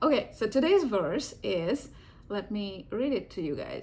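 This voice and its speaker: Somewhat breathy and fairly high, a woman's voice with an American accent moves through very wide pitch swings. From India. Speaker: video blogger and divorce support meetup organizer. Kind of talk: casual reflective vlog talk. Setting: home living room. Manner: hesitant, with many fillers.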